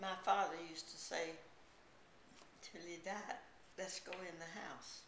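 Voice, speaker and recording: In a Southern US accent, the speaker talks at a fairly slow pace in a flat monotone, with long, frequent pauses, big swings in loudness and noticeable background noise. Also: woman, fairly low pitch for a woman. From South Carolina. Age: 80s+. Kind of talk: interview answer.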